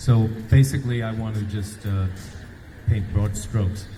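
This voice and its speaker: A man's fairly low voice at a moderate pace, fairly even in intonation, with audible room echo and noticeable background noise. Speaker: rally speaker. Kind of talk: protest speech.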